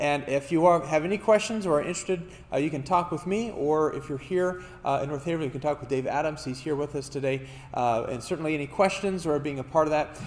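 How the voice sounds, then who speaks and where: This man talks at a very fast pace with ordinary pitch variation. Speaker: pastor. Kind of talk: church announcements. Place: church.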